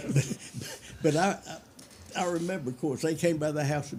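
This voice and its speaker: At a moderate pace, a man speaks with a Memphis accent. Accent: Southern US (Memphis). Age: 80s+. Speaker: hot rodder. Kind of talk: casual chat.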